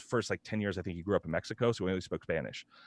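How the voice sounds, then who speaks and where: A man with a slight West Coast accent, against a quiet background. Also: dry, close sound with no echo. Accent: light American West Coast. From Oregon, USA.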